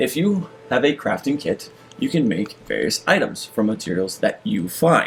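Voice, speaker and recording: There is music in the background. Over it, a man speaks at a fairly slow pace. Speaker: video game streamer. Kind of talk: gameplay commentary. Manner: stutters when reading aloud.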